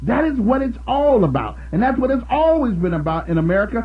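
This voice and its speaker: The voice sounds animated, with audible room echo around it. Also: man. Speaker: radio talk show host. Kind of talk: call-in talk radio.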